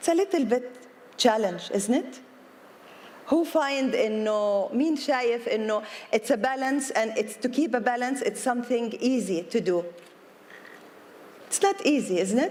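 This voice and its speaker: Her voice high-pitched and her intonation lively, a woman speaks at a fairly slow pace with long, frequent pauses. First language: Arabic. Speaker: yoga teacher and businesswoman. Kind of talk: public talk. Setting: outdoor event lawn with audience. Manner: code-switching Arabic and English; hesitant with fillers.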